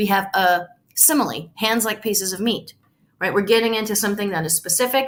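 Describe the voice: Simply plain reading aloud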